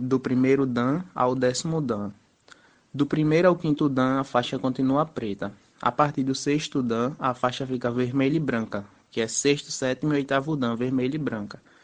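A man's medium-pitched voice, an ordinary speaking voice, with ordinary pitch variation, a moderate pace and a quiet background. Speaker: judo instructor, physical education graduate. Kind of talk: interview.

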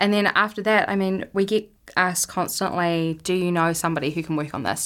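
A woman with a New Zealand accent talks at a very fast pace. The recording is very clean, with a silent background. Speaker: film festival program manager. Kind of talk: interview.

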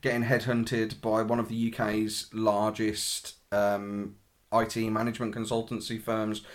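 Over a silent background in a very clean recording, a man with a British accent speaks at medium pitch with fairly even intonation. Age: 30s. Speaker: portrait photographer. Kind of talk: casual chat.

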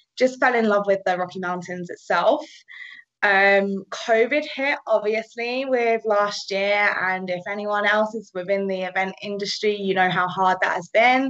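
Speaking with a British accent, a woman at medium pitch goes at a fairly slow pace with ordinary pitch variation. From England. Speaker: paddleboard tour operator. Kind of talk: casual chat.

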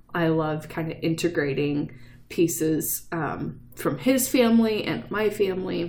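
A woman's fairly low voice with vocal fry, lively intonation and a fairly slow pace, in a room with audible echo. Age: 30s. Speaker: podcast host. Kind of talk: casual chat. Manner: animated.

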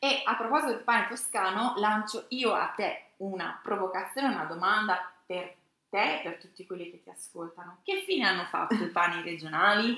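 A woman has an ordinary speaking voice at medium pitch with ordinary pitch variation. Her pace is moderate, and her loudness swings widely. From Romagna, Italy (Brisighella, near Tuscan border). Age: 40s. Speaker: food journalist and magazine publisher. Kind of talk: interview.

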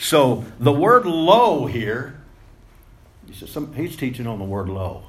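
At a very slow pace and with long, frequent pauses, a man with a medium pitch speaks somewhat breathily, his pitch swinging very widely amid audible room echo. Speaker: preacher. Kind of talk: sermon. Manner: wordy, repetitive with fillers.

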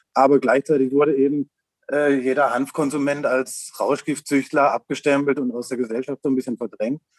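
A man's fairly high voice in a monotone, flat intonation, with a dry, close sound and no echo. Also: moderate pace. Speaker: hemp shop owner. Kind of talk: interview.

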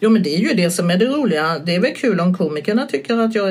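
A woman speaks at a medium pitch with lively intonation against noticeable background noise. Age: 60s. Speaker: stand-up comedian. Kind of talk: casual chat.

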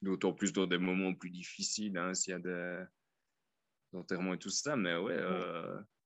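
A man with a very deep, low pitch and a slight Liège accent speaks at a fairly slow pace, with fairly even intonation and long, frequent pauses. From Belgium, Liège. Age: 30s. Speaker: expat. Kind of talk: casual interview. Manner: halting.

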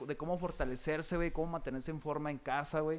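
At a moderate pace, a man is talking. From Matamoros, Coahuila, Mexico. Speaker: taekwondo instructor. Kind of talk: casual chat.

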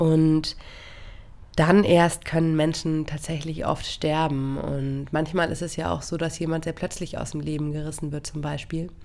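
A woman with a very deep, low pitch, monotone and flat in intonation, at a fairly slow pace. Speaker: solo podcast host. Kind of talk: reflective monologue. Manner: many filler sounds, hesitant.

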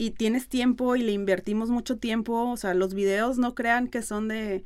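A woman with an unremarkable speaking voice talks at a fairly slow pace. The recording is very clean, the background silent. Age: 30s. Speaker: influencer and marketer. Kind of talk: casual interview.

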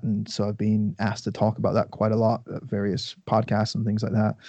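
In an Irish accent, a man speaks with a fairly low pitch and fairly even intonation. His tone is dark and mellow. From Ireland. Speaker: nutrition coach and podcaster. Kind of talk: casual chat. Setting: podcast interview.

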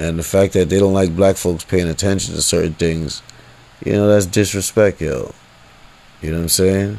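At a moderate pace, a man with a very deep, low pitch and a dark, mellow tone speaks with fairly even intonation. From US, rough urban neighborhood. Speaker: podcaster. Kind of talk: monologue rant. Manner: abrasive tone; casual, filler-heavy.

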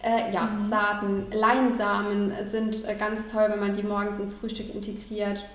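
Against noticeable background noise and audible room echo, a woman speaks fairly slowly in a fairly high voice with monotone, flat intonation. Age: 30s. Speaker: vegan nutrition consultant. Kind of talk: interview.

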